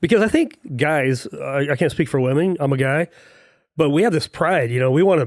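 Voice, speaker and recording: A man speaks in an unremarkable speaking voice. His pace is fairly quick and his intonation lively. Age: 50s. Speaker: podcast host. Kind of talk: casual interview.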